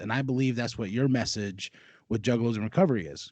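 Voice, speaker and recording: Over a quiet background, a man with a normal speaking voice at medium pitch speaks fairly quickly with ordinary pitch variation. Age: 30s. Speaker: podcast host. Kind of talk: casual interview chat.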